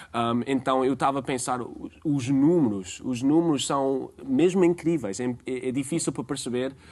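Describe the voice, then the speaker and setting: With an American accent, a man speaks at a medium pitch and moderate pace with ordinary pitch variation and hardly any pauses against a quiet background. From United States. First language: English (speaking Portuguese). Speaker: tour guide. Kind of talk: TV interview. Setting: TV studio. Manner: halting, many fillers.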